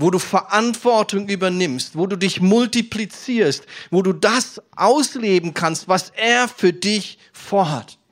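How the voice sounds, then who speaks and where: This man talks very slowly in a high pitch with ordinary pitch variation, recorded very cleanly against a silent background. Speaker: preacher. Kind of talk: sermon. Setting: church service with congregation, New Year's Eve. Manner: earnest, persuasive preacher's delivery addressing the congregation directly; warm, encouraging, storytelling with personal anecdotes.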